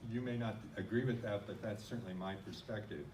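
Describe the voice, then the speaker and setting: The speaker has a Midwestern US accent. Noticeable background noise and audible room echo are present. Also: man. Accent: plain US Midwestern. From US Midwest. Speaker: non-profit organization leader. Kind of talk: conference talk.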